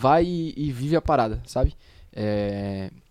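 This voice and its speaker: A man speaks with a dark, mellow tone. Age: young. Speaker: young church member back from mission trip. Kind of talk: casual podcast chat.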